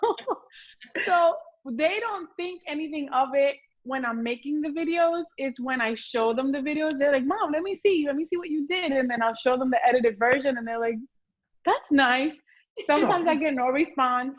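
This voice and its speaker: A woman speaks loudly in a Puerto Rican accent. Her voice is high, with lively intonation and a moderate pace. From Puerto Rico. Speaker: home cook on social media. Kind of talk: casual chat. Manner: animated.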